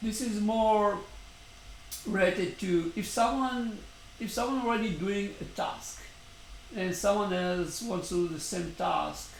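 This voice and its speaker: A fairly slow delivery with long, frequent pauses, ordinary pitch variation, audible room echo and noticeable background noise. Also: man, high pitch for a man. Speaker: startup founder vlogger. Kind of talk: daily video update monologue. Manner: hesitant, many fillers.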